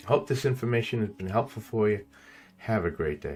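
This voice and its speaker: Speech moves at a fairly quick pace with music playing in the background. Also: man. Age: 70s. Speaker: tech reviewer. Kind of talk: product review. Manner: casual, rambling.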